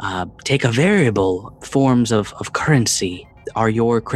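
What you hear is reading aloud done plainly.

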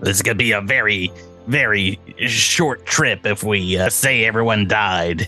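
Over clear music in the background, a man in a put-on character voice talks at a moderate pace with a fairly low pitch.

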